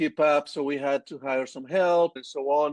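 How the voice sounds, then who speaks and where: A man with a Colombian accent speaks at a fairly slow pace and a fairly high pitch. The sound is dry and close, with no echo. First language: Spanish. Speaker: agency owner. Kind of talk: interview. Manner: halting.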